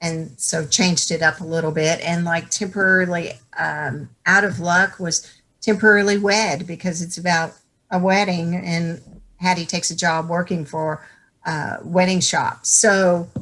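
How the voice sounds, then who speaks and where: In a Texan accent, a woman speaks at a moderate pace with a fairly low pitch and fairly even intonation. Her tone is bright and sharp, on a very clean recording with a silent background. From Texas, Dallas. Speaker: author. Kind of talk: interview.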